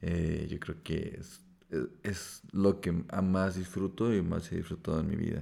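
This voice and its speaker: A man's very deep, low voice, dark and mellow in tone, moves at a fairly slow pace with flat, monotone intonation. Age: 20s. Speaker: podcast co-host. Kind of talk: casual chat. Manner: halting.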